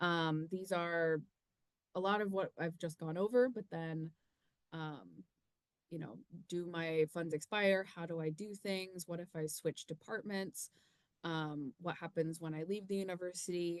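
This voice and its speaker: In a fairly low voice, a woman speaks at a fairly slow pace with fairly even intonation. The sound is dry with no echo, and the background is quiet. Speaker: university research administrator. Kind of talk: informational webinar presentation. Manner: hesitant, many filler ums. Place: home room. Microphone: webcam.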